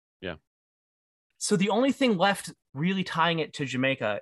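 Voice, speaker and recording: In an American accent, a man speaks at a moderate pace with very wide pitch swings, recorded dry and close with no echo against a silent background. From Detroit. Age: 30s. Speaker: podcast co-host. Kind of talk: casual chat.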